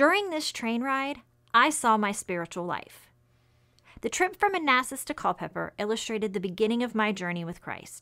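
Against a quiet background, a woman talks at a fairly quick pace with very wide pitch swings. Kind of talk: personal testimony. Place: office.

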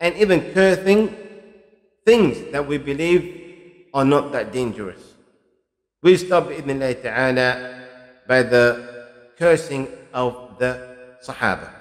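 Over a quiet background, a man talks at a fairly slow pace with long, frequent pauses. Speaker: religious teacher. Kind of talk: lecture. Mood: calm, earnest. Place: studio. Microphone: studio mic.

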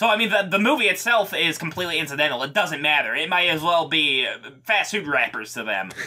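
A man talks with lively intonation. Background noise is noticeable. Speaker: podcast co-host. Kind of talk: casual chat.

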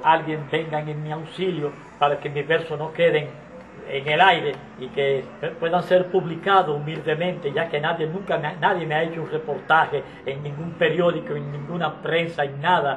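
Someone speaks at a moderate pace in a monotone, flat intonation, with light background noise. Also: man, fairly high pitch for a man. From Dominican Republic. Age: 70s. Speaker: street poet. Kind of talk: interview answer. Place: home room.

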